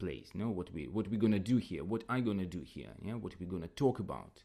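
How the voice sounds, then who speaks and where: A man speaks with a non-native accent and lively intonation. There is vocal fry in his voice. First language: not English. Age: 30s. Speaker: podcast host and English teacher. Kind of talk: casual solo podcast talk. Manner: halting, with many repetitions.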